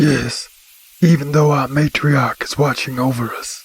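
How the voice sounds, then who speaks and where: Using a put-on character voice, a man speaks at a moderate pace with a fairly high pitch. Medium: video game. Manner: polite, measured.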